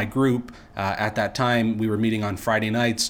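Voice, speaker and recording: A man with a Canadian accent talks at a moderate pace. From Ontario, Canada (Welland, Niagara region). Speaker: pastor. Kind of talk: interview testimony. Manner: halting, many repetitions.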